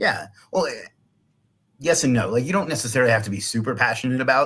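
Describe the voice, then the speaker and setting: A man's energetic, bright, sharp voice at medium pitch, very fast pace and lively intonation. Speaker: business owner. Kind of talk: live stream interview. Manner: loud and energetic.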